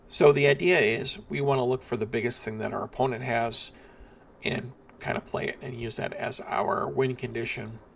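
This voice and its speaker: Moderate pace and ordinary pitch variation from a man at medium pitch, with noticeable background noise. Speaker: card game content creator. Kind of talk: deck guide tutorial. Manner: casual with many fillers.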